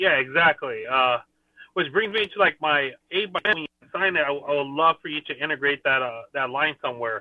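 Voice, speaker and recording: A man with an American accent, an unremarkable speaking voice, fairly high in pitch, with ordinary pitch variation at a moderate pace. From Thousand Oaks, California. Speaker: fan caller. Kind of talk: casual chat. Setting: video call while running errands.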